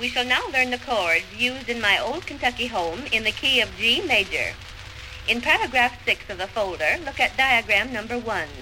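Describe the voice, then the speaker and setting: Noticeable background noise is present throughout. The talking keeps a moderate speed. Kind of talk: vintage instructional record lesson. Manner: formal, clear, measured, teacherly; brisk step-by-step commands with pauses to follow along.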